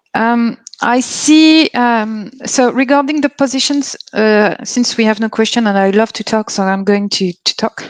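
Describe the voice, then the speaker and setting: Speaking with a French accent, a woman uses a fairly high pitch and ordinary pitch variation at a fairly slow pace. The sound is dry and close, with no echo. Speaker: company representative at a career fair. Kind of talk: live Q&A presentation. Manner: halting, many fillers and restarts.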